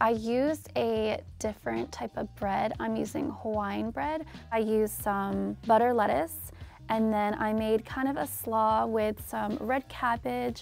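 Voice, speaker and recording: A woman at a fairly slow pace, faint music in the background, the sound dry with no echo. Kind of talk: interview answer. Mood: proud, upbeat. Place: studio. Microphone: lapel.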